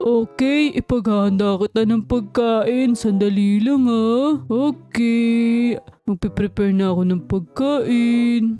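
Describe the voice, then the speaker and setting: A woman speaks very slowly in a put-on character voice, her pitch fairly high, with faint music in the background. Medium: game stream. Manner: sweet, polite, eager to please.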